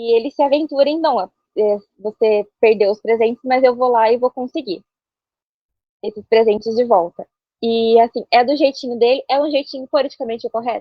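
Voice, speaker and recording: A woman's high-pitched voice with ordinary pitch variation and long, frequent pauses. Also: moderate pace. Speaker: author. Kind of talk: casual chat.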